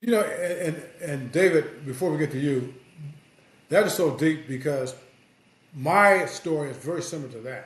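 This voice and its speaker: American-accented speech at a moderate pace, with long, frequent pauses, ordinary pitch variation, big swings in loudness and audible room echo. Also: man, fairly high pitch for a man. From US Midwest, South Bend, Indiana. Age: 60s. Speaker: sports journalist. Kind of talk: casual podcast chat.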